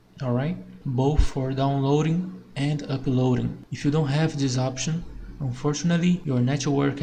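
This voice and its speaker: A man's fairly slow, fairly even speech in a non-native accent, fairly high in pitch, with audible room echo. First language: not English. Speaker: tech tutorial creator. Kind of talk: tutorial.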